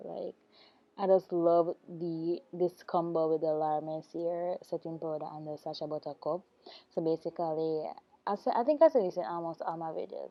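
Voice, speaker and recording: A woman with an unremarkable speaking voice, fairly low-pitched, at a moderate pace with fairly even intonation. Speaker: beauty vlogger. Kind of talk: makeup tutorial voiceover. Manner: casual, chatty.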